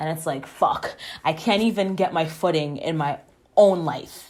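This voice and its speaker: Soft-spoken and fairly slow, a woman talks at a fairly low pitch. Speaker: podcast host. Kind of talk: casual personal monologue. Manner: informal, halting with fillers.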